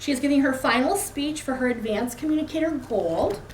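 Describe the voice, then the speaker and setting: A woman's fairly quick voice with ordinary pitch variation, over noticeable background noise. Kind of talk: speaker introduction at a club meeting.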